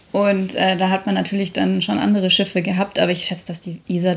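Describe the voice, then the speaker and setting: Medium pitch from a female speaker. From Munich, Bavaria (north-west). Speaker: podcast co-host. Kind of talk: casual chat. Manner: animated.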